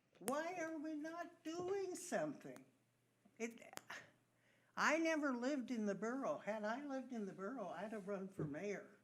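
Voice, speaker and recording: A woman speaks at a high pitch with very wide pitch swings and long, frequent pauses. Room echo is audible. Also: moderate pace. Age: 80s+. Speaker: resident at public comment. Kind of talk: public comment at council meeting. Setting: borough council meeting.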